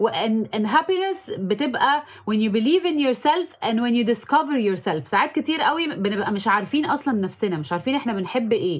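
A woman with an Egyptian accent talks at a fairly quick pace and fairly high pitch, with hardly any pauses. Her pitch swings very widely, and background noise is noticeable. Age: 30s. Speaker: makeup artist and social media influencer. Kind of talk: interview. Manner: frequent English code-switching.

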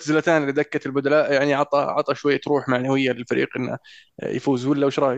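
Fairly high-pitched male voice, monotone and flat, at a moderate pace, with dry, close sound, no echo and a quiet background. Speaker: football podcast host. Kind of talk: casual chat.

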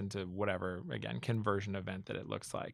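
On a very clean recording with a silent background, a man with a fairly low voice talks at a fairly quick pace. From Minnesota, Minneapolis suburbs. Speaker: marketing company executive. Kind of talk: interview.

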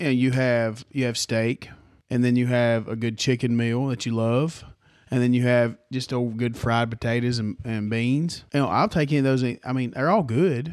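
In a Southern US accent, a man speaks with fairly even intonation on a very clean recording with a silent background. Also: medium pitch for a man, moderate pace. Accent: Southern US (Georgia). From Georgia, US South. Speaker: podcast co-host. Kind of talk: casual chat. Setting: his own home.

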